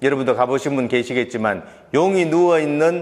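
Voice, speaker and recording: A man with a fairly high pitch and an unremarkable speaking voice talks at a moderate pace with ordinary pitch variation, on a very clean recording with a silent background. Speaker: tour company founder. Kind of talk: talk concert speech.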